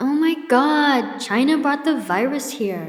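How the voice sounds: A female-sounding voice puts on a whiny character voice pitched high.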